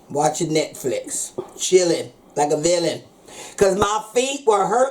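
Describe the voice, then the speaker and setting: Speaking in an American accent, a woman uses a medium pitch, lively intonation and an animated tone at a moderate pace. Background noise is noticeable. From USA. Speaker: chef. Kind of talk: speech to diners; casual vlog talk. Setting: restaurant with audience.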